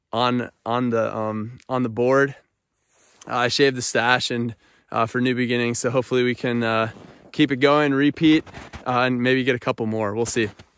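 Against a quiet background, a man talks in a monotone, flat intonation, the sound dry with no echo. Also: moderate pace. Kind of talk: casual vlog chat. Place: open country. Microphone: phone near.

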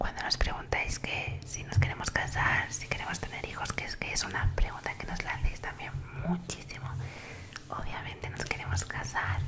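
Over loud background noise, a soft-spoken woman talks at a moderate pace. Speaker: ASMR creator. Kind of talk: soft casual vlog chat. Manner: soft, close-mic ASMR voice. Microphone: studio mic.

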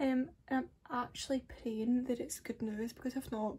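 A woman's high voice in a Scottish accent, dark and mellow in tone, with ordinary pitch variation. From Scotland. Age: young. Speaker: beauty vlogger. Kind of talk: casual talk to camera. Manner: chatty, rambling. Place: home room. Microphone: phone near.

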